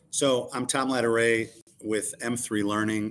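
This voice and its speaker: A man speaks at a fairly slow pace with fairly even intonation. He has a plain, everyday voice. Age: 60s. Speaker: sales coach and consultant. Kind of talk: live-stream panel discussion. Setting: live stream.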